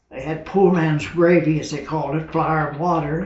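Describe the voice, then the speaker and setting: A man at a fairly high pitch and moderate pace, fairly even in intonation, with audible room echo and noticeable background noise. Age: 80s+. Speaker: war veteran. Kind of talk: interview.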